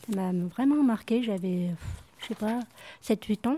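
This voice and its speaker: A woman's medium-pitched voice, dark and mellow in tone, on a very clean recording with a silent background. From France, Givors near Lyon. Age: 60s. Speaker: retired municipal cleaner, workshop participant. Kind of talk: personal testimony.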